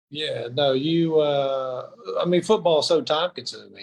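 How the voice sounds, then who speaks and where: A somewhat breathy man with an American accent and ordinary pitch variation. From Mississippi (Brandon). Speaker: former college football player. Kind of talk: casual interview chat. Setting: live stream show.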